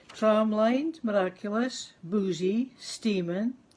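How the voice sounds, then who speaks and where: A woman with a Scottish accent speaks at a very slow pace. Her pitch is medium, with ordinary pitch variation. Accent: Scots. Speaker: poet. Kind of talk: poetry reading.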